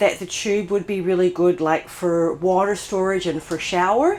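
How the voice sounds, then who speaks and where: A woman at medium pitch in an Australian accent, at a fairly slow pace. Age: 60s. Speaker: van life vlogger. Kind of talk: casual vlog talk to camera. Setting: inside a closed camper van.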